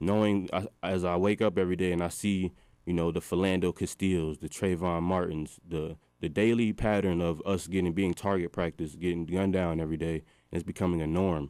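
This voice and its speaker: Very deep and low, a man's voice carries a dark, mellow tone and flat, monotone intonation. He speaks at a moderate pace on a very clean recording with a silent background. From Minnesota, US (Burnsville, near Minneapolis). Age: 20s. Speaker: graduate student traveling to Ghana. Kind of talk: radio interview.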